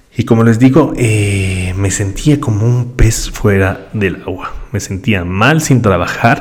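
Over noticeable background noise, a man talks at a very slow pace with hardly any pauses. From Ecuador. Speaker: podcast host, digital marketer. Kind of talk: solo podcast monologue. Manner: conversational with frequent fillers and repetitions.

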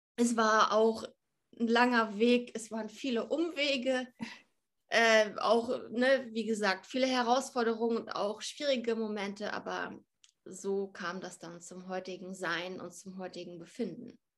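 With a plain, everyday voice, a woman speaks fairly slowly at a fairly high pitch, using ordinary pitch variation while her loudness swings widely. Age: 30s. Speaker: fitness and nutrition influencer. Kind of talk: interview.

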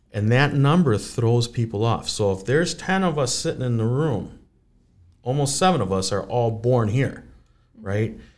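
Speaking with an Upper Midwest accent, a man keeps a moderate pace and a medium pitch. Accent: Upper Midwest American. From Saint Paul, Minnesota (West Side). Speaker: real estate agent. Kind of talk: interview.

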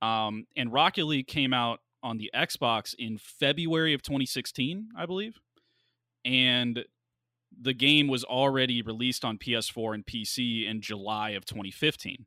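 At a moderate pace, a man speaks at a medium pitch. He has a plain, everyday voice. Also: ordinary pitch variation. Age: 20s. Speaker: video game streamer. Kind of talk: casual chat.

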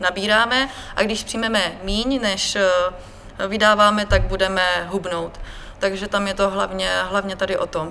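A woman speaks at medium pitch with fairly even intonation. Her pace is very slow, with noticeable background noise. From Czechia, Brno (Moravia). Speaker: fitness expert at a sports retailer, crossfit athlete. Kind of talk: casual interview.

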